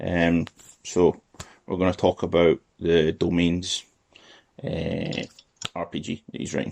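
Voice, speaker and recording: Very deep and low, a man's voice moves at a fairly slow pace with long, frequent pauses and ordinary pitch variation, the sound dry and close with no echo. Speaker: podcast host. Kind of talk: podcast interview, casual conversation.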